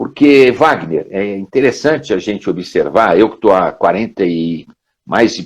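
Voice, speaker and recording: A man with a normal speaking voice, lively intonation and a fairly slow pace. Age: 60s. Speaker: professor and career trainer. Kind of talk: casual interview chat. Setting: live stream video call.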